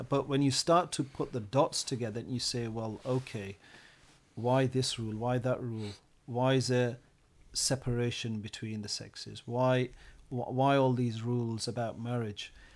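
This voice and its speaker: Speaking with a West Yorkshire accent, a man keeps a moderate pace, a medium pitch, and fairly even intonation. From Bradford, northern England. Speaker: science teacher. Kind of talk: podcast discussion.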